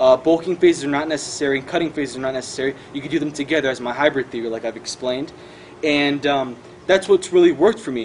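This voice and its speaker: Noticeable background noise sits behind a man talking very fast. His voice is fairly high, with ordinary pitch variation. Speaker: fitness vlogger. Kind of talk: casual tutorial. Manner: animated.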